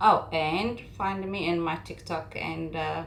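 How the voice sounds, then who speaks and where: The speaker has a non-native accent. Audible room echo is present. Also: woman. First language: not English. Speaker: makeup content creator. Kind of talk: tutorial. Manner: calm, not hype; halting.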